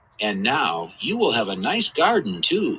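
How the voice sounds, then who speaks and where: A put-on character voice at a moderate pace. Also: man, fairly high pitch for a man. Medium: read story. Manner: calm, reassuring.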